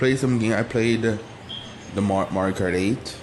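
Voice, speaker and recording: A man at a medium pitch, with noticeable background noise. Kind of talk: casual talk to camera. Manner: casual, rambling.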